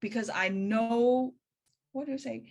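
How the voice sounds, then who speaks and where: A woman speaks with lively intonation. The recording is very clean with a silent background. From Hong Kong. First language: Cantonese. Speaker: spiritual practice teacher. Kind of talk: talk in a practitioner meeting. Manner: halting.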